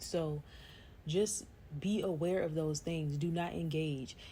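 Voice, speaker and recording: A woman speaks with a fairly low pitch, a dark and mellow tone, fairly even intonation and a somewhat breathy quality. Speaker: vlogger. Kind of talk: casual monologue.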